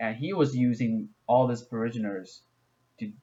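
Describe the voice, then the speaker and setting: With a Chinese accent, the speaker keeps a fairly even intonation at a fairly slow pace. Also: man. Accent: non-native English, Chinese. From China. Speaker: gaming YouTuber. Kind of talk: video game explainer. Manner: halting, many fillers.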